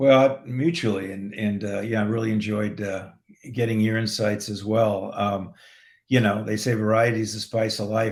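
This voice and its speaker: A man with an American accent, fairly low in pitch, at a moderate pace and in monotone, flat intonation, on a very clean recording with a silent background. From San Diego, California. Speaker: film director. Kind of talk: casual interview chat.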